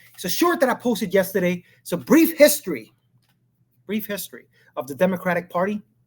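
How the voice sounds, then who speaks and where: With an animated tone and a high pitch, a man talks at a fairly quick pace, his pitch swinging very widely and his loudness rising and falling in big swings. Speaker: political commentary YouTuber. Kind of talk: casual live monologue. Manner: fast.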